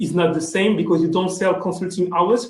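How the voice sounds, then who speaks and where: A man with a French accent at a high pitch and fairly quick pace, with audible room echo. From France. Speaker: sales executive. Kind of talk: conference panel talk. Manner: halting, many fillers.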